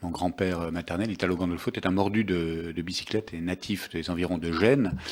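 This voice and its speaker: This man talks at a fairly quick pace in a very deep, low voice with fairly even intonation. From France, Nice. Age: 50s. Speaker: sports journalist and author. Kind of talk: book talk at a public event. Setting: bookshop event with audience. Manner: hesitant, many fillers.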